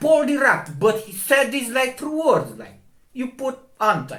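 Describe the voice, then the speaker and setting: A man's voice is raised and projected, with a bright, sharp tone. He keeps a moderate pace. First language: not English. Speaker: astronomy video maker. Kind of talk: video commentary. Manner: halting.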